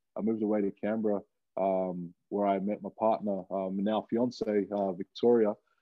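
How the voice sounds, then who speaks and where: Here a man talks with an Australian accent and a fairly low pitch. His intonation is monotone and flat. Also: moderate pace. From Australia, Wollongong. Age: 20s. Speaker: professional rugby player. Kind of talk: casual chat.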